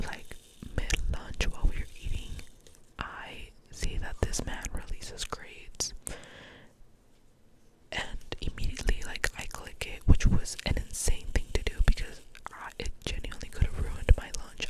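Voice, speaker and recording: Whispering at a fairly slow pace with long, frequent pauses, a woman is heard over noticeable background noise. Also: big swings in loudness. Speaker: university student, ASMR creator. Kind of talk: ASMR ramble, casual talk to camera. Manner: soft, whispered, chatty.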